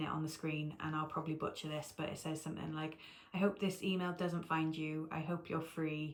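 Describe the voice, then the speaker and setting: A woman's fairly low, monotone, flat voice in a British accent at a fairly quick pace. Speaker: cross stitch video creator. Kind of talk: casual vlog chat.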